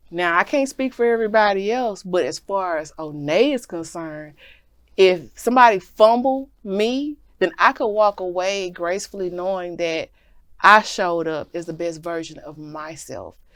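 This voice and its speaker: A woman with a normal speaking voice and medium pitch talks at a moderate pace. Her intonation is lively, with big swings in loudness, on a very clean recording with a silent background. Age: 40s. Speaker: talk show host. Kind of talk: casual chat.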